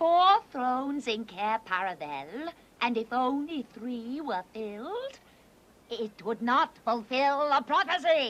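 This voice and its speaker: A female-sounding cartoonish character voice, high-pitched and fairly slow. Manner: imperious, commanding.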